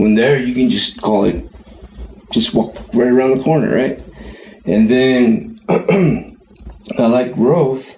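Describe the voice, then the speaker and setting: Spoken very slowly in an American accent, with ordinary pitch variation. The loudness stays very even over noticeable background noise. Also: man, medium pitch for a man. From California, Tuolumne County. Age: 50s. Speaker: podcast co-host. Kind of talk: casual chat.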